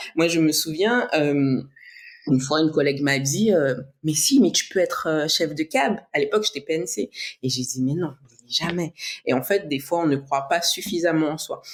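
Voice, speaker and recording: Pitch moves in an ordinary way as the speech goes along at a medium tempo. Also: woman, very deep, low pitch for a woman. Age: 30s. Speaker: bodybuilder and flight attendant. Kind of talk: interview.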